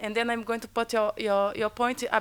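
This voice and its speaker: A woman speaks with a Portuguese accent at a fairly quick pace. Her pitch is fairly high and her intonation fairly even. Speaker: academic panelist. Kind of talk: panel debate answer. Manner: halting, many repetitions.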